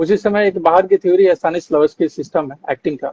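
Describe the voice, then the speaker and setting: Recorded dry and close with no echo, a man speaks at a moderate pace in a high-pitched voice with a dark, mellow tone. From Bihar, Arrah. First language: Bhojpuri (speaking Hindi). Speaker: actor. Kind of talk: interview. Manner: hesitant fillers.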